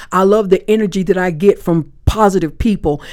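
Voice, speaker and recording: A normal speaking voice with an American accent at a fairly quick pace. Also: woman. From US South, Florida Panhandle (Panama City). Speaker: author. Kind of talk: interview. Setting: podcast studio at a live event.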